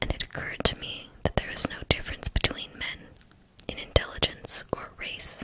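The speaker whispers, soft-spoken, at a moderate pace. Noticeable background noise runs throughout. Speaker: audiobook reader. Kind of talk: reading a novel aloud. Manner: soft whispered ASMR book reading.

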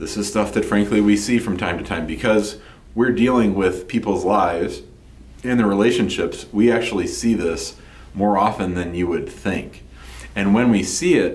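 A man speaks at a moderate pace in a fairly low, somewhat breathy voice. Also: ordinary pitch variation. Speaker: immigration lawyer. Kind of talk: explanatory talk to camera. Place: office.

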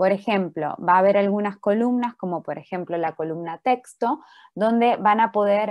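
A woman is speaking. The background is quiet. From Argentina. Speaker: workshop instructor, doctoral student; presenter. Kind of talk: online workshop tutorial. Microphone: video call.

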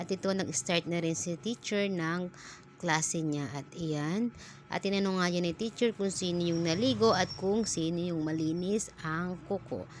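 A woman's fairly low-pitched, ordinary speaking voice at a fairly slow pace. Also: ordinary pitch variation. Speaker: vlogger and mother. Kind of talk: casual vlog voice-over.

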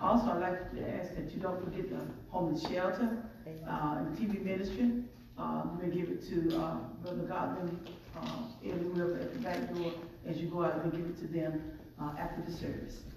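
A woman talking at a fairly quick pace, with strong room echo and noticeable background noise. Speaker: church announcer. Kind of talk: announcements. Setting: church. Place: church.

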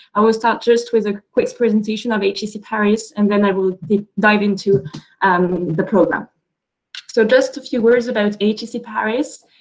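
Against a quiet background, a woman with an ordinary speaking voice, fairly high in pitch, talks at a moderate pace with fairly even intonation. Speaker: business school representative. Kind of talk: webinar presentation. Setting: video call. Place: office. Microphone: video call.

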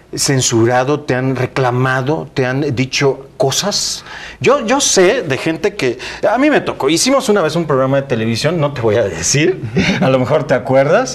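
The man's delivery is rather unhurried, yet his intonation stays lively. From Tabasco, Mexico. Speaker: TV news anchor and host. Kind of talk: TV interview. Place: studio. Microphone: lapel.

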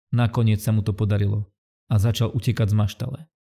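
Somewhat breathy and dark, mellow in tone, a man with a fairly low voice speaks at a moderate pace with fairly even intonation. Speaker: channel narrator.

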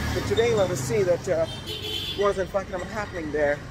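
Loud background noise sits behind a man as he talks. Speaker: vlogger. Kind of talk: casual vlog chat. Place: street. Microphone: phone near.

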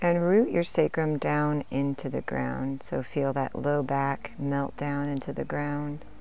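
With hardly any pauses, a woman speaks fairly slowly in a very deep, low voice, her gentle, dark, mellow tone carrying fairly even intonation. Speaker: meditation and stretch teacher. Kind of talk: guided meditation. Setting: outdoors in nature, Sri Lanka. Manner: slow, calm, soothing; gentle, measured pacing with counted breaths.

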